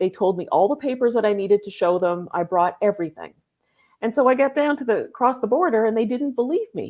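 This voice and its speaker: A woman's high voice with a Canadian accent, very fast pace, and lively intonation, in a very clean recording with a silent background. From Canada. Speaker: business founder. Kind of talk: podcast conversation. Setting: live video podcast.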